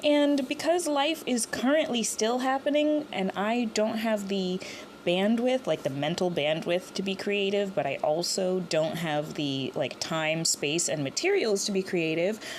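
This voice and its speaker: A woman at medium pitch with very wide pitch swings, a fairly slow pace, hardly any pauses and noticeable background noise. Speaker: Reddit story reader. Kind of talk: casual talk to camera.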